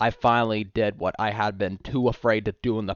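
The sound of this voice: Intonation here is fairly even. The reading voice sounds unforced.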